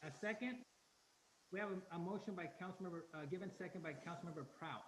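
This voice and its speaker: Audible room echo colors this man's speech. He goes at a very fast pace with ordinary pitch variation. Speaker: mayor chairing city council meeting. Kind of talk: council meeting chairing. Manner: quiet. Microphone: very low, cutting out.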